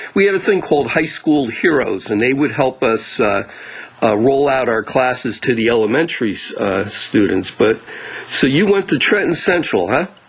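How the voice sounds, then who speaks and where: A man's medium-pitched voice with an American accent, very wide pitch swings, very even loudness and a moderate pace, amid noticeable background noise. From New Jersey. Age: 60s. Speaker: podcast host. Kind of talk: interview. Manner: halting.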